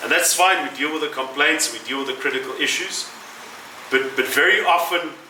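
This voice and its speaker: With noticeable background noise and audible room echo, a man speaks at a fairly quick pace. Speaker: city mayor. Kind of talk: political speech. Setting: venue with audience.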